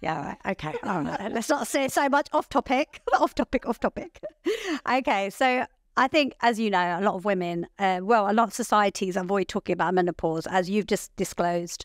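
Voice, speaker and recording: A woman in a British accent speaks at a moderate pace and medium pitch with lively intonation, recorded very cleanly with a silent background and a dry, close sound with no echo. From England. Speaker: podcast host. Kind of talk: podcast interview. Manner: loud.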